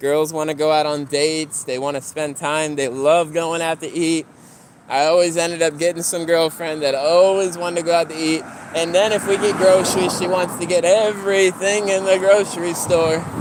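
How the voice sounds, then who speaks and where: Against noticeable background noise, a man with a high pitch speaks at a moderate pace with fairly even intonation. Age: 20s. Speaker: live streamer. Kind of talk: casual livestream chat. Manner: casual, rambling conversational.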